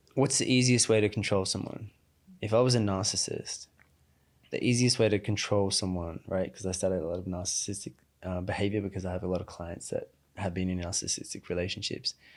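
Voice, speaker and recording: A man with an Australian accent talks at a very fast pace, fairly low in pitch and fairly even in intonation, on a very clean recording with a silent background. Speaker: emotional intelligence coach. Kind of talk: podcast interview. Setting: studio.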